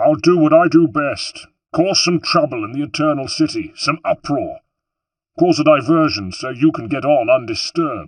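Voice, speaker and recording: In a put-on character voice, a man speaks at a moderate pace and fairly high pitch with ordinary pitch variation, over a quiet background. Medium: read story. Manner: bluff.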